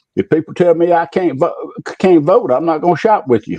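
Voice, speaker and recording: A man with an Alabama accent speaks fairly quickly, his intonation lively. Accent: Southern US (Alabama). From US South, Macon County, Alabama. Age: 70s. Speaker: retired public official. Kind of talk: interview, personal recollection. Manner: halting.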